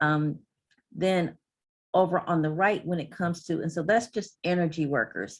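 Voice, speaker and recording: A woman with a fairly low pitch and ordinary pitch variation talks in a plain, everyday voice. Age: 60s. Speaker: energy utility industry representative. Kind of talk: presentation.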